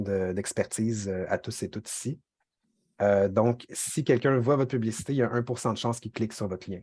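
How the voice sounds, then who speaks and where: A man's voice at medium pitch. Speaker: workshop trainer, communications officer. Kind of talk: online training lecture. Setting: video call, screen sharing. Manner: fast; hesitant, many fillers.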